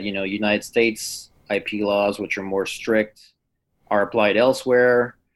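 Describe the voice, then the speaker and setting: Speaking at a moderate pace, a man holds a fairly low pitch in monotone, flat intonation. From Quebec, Canada. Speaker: criminologist. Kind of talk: casual chat.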